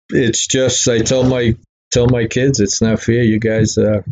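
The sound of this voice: A man with a Boston accent speaks at a medium pitch and a fairly slow pace. His tone is slightly mellow, and his pitch barely moves. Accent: Boston-area New England.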